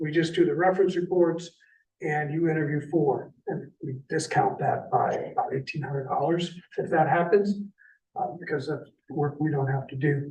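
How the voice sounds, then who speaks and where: With an unremarkable speaking voice, a man of fairly high pitch talks at a moderate pace and with fairly even intonation. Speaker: recruitment consultant, former city administrator. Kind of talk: presentation at a city committee meeting. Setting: city committee meeting.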